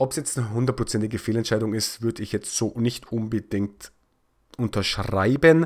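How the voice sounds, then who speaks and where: Recorded very cleanly against a silent background, a man with a normal speaking voice talks at a medium pitch and a moderate pace, with ordinary pitch variation. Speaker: football highlights YouTuber. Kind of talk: football match recap commentary. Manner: casual, opinionated.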